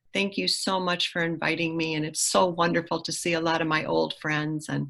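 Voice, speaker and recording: Delivered with an American accent, the speech moves at a fairly quick pace with hardly any pauses. Background noise is noticeable. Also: woman. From US Midwest, Michigan. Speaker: political candidate. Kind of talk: prepared self-introduction.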